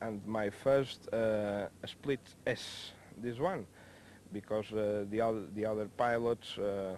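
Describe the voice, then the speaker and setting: A man with a Spanish accent, a fairly low pitch, and monotone, flat intonation. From Spain, Mallorca. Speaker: helicopter pilot. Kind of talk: interview. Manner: halting.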